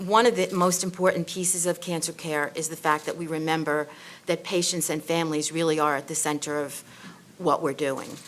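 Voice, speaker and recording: A woman in a New York accent speaks with fairly even intonation at a fairly low pitch. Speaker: nursing school dean on a panel. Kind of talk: panel discussion. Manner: halting, many fillers.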